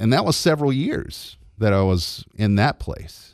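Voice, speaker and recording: A man speaks at a moderate pace with very wide pitch swings, on a very clean recording with a silent background. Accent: Southern US. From US South, Georgia (LaGrange). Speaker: radio host. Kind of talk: testimony.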